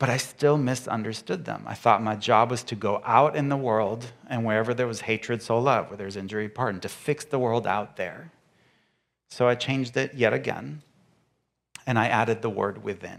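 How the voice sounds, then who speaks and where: On a very clean recording with a silent background, a man speaks at a medium pitch. His moderate pace carries some vocal fry. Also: ordinary pitch variation. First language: not English. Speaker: guest speaker and author. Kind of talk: sermon.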